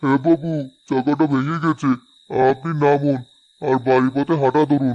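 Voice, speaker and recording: A man performs a cartoonish character voice at a fairly high pitch. He speaks at a fairly slow pace with monotone, flat intonation. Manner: polite, deferential.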